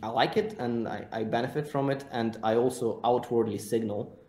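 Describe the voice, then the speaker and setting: This man has a dark, mellow tone and a medium pitch. He speaks with a non-native accent. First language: not English. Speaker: content creator and agency owner. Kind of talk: podcast interview.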